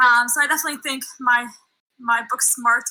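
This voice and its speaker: A woman with a bright, sharp tone speaks at a fairly slow pace in a raised, projected voice with a high pitch. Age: 20s. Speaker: reality game applicant. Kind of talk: casting video pitch.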